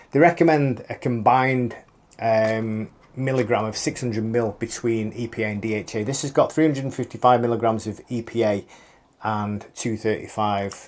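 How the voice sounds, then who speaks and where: The speaker has fairly even intonation and a British accent. The recording is very clean, with a silent background. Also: man. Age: 50s. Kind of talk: casual talk to camera.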